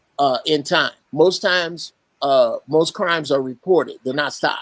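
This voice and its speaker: In a dry, close sound with no echo, a man with a fairly high pitch talks at a moderate pace with ordinary pitch variation. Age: 60s. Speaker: Marine veteran, caller. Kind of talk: casual chat. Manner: halting.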